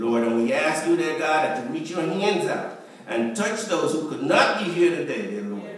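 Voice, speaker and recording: Through strong room echo and light background noise, a man speaks at a moderate pace with lively intonation. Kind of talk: prayer. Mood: earnest, reverent. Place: church. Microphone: camera far.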